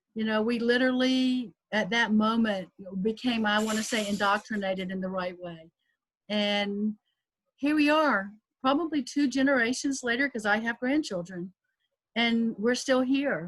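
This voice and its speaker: With a slight Southern US accent, a woman speaks at a moderate pace in a fairly high, somewhat breathy voice with ordinary pitch variation. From US South, South Carolina. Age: 60s. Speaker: professor. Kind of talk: panel discussion.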